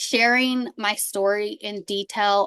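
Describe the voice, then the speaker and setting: With a US East Coast accent, a woman talks at a medium pitch with fairly even intonation, the sound dry and close with no echo. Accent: US East Coast accent, recently picked back up. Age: 30s. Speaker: podcast host and abuse survivor. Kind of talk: interview, personal testimony. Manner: casual, many fillers.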